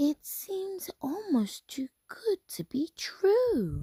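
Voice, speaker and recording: Using a put-on character voice, a woman speaks very slowly at an extremely high pitch with very wide pitch swings and a warm tone, the sound dry and close with no echo. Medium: read story. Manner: soft, warm.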